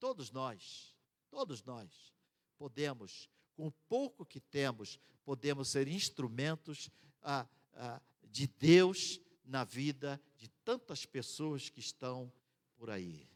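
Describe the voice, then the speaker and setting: Recorded dry and close with no echo, a man speaks very slowly at a fairly high pitch with ordinary pitch variation. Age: 60s. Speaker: missionary. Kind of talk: sermon.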